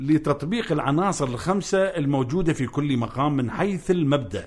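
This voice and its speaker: Speaking in a Baghdadi accent, the voice is somewhat breathy. The pace is moderate and the intonation lively. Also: man. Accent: Iraqi Arabic (Baghdadi). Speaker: Iraqi maqam singer and researcher. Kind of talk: radio interview, explanatory.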